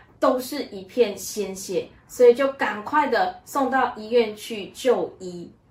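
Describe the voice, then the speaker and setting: At a very slow pace with hardly any pauses, a high-pitched woman shows ordinary pitch variation and big swings in loudness over noticeable background noise. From Malaysia. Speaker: church member sharing her life story. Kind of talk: testimony.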